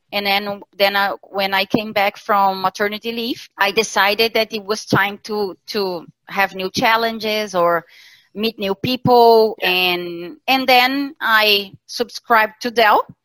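Her fairly high voice has a bright, sharp tone and fairly even intonation at a fairly slow pace. The woman's sound is dry and close, with no echo. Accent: Portuguese. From southern Brazil, Santa Catarina. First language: Portuguese. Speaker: talent sourcing specialist. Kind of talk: interview. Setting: video call. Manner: hesitant with fillers.

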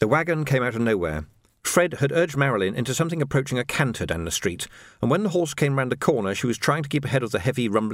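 The plain reading aloud carries lively intonation.

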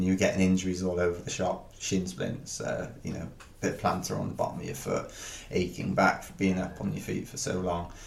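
A man with a South Welsh accent, very deep and low in pitch, at a fairly quick pace, with audible room echo. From Wales, Penarth near Cardiff. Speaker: ultra runner. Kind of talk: casual interview.

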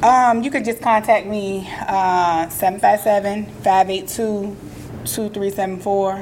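Speaking at a very slow pace, a woman keeps a medium pitch and fairly even intonation against noticeable background noise. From Virginia, Portsmouth. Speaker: community organizer. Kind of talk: casual chat.

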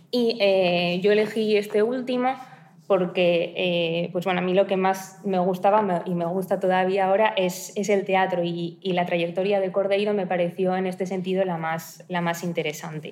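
Against noticeable background noise, a woman speaks at a moderate pace and medium pitch with monotone, flat intonation. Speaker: doctoral researcher. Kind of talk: academic presentation. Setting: university seminar room.

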